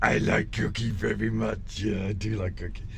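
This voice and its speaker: Over clear background noise, a man puts on a character voice at a fairly low pitch and a moderate pace. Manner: eager.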